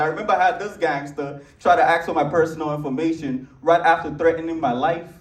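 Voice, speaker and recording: A man with a Nigerian accent, high-pitched and animated, at a fairly quick pace amid audible room echo and noticeable background noise. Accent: African (Nigerian). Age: young. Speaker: comedian. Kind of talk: stand-up. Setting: stage with audience.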